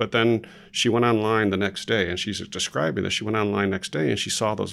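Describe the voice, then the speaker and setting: The background is silent and the recording very clean. A man talks in a fairly low voice. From Chicago, Illinois. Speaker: marketing executive. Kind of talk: interview. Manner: halting, many repetitions.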